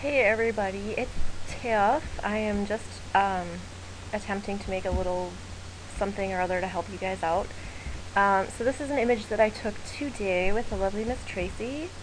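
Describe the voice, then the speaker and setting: With audible room echo, a woman with an American accent speaks, leaving long, frequent pauses. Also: medium pitch for a woman, ordinary pitch variation, moderate pace. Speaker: photographer. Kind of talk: tutorial. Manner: casual, chatty with many fillers.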